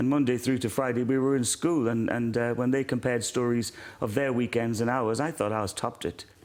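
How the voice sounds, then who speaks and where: A man with a Welsh accent, medium pitch, very fast pace and fairly even intonation. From South Wales, born in Ireland. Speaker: former singer, now pastor. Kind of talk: interview testimony.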